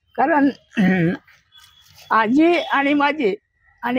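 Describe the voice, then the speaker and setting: A man's extremely high-pitched voice in a dry, close recording with no echo. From Buldhana, Maharashtra. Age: 70s. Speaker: election candidate. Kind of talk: interview answer.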